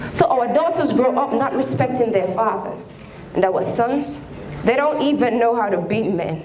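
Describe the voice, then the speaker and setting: A high-pitched woman's voice with lively intonation at a moderate pace, against noticeable background noise. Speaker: spoken word poet. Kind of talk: spoken word poetry performance. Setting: live stage performance in a hall.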